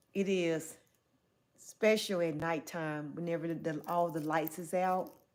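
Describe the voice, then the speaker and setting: In a Southern US accent, a woman with a fairly low pitch speaks at a fairly slow pace with monotone, flat intonation. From US South. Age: 40s. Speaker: livestreamer. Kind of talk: livestream chat reading. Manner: casual.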